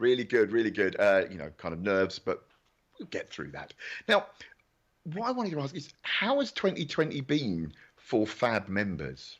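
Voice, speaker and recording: This voice moves at a moderate pace with vocal fry, very wide pitch swings and big swings in loudness. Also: man, medium pitch for a man, quiet background. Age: 50s. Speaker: awards show presenter. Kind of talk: live online awards hosting. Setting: home recording studio, video call. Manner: animated.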